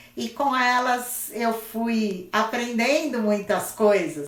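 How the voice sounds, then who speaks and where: A woman with a São Paulo accent and a fairly high pitch, at a very slow pace, with audible room echo. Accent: Brazilian Portuguese, São Paulo (paulistano). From Brazil, São Paulo city. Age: 60s. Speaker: craft teacher. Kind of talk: casual live-stream chat. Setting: Instagram live stream.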